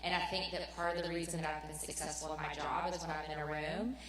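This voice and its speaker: A woman's very deep, low voice at a fairly quick pace, with audible room echo and noticeable background noise. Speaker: alumna panelist, corporate professional. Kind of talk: panel discussion. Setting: stage with school audience. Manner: loud.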